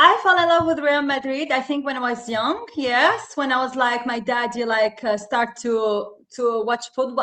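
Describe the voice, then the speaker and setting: A woman with a non-native accent speaks in a raised, projected voice at a high pitch. Her tone is bright and sharp, her intonation lively, and her pace moderate. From Tunisia. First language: not English. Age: 30s. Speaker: football podcast co-host. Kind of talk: casual chat. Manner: animated.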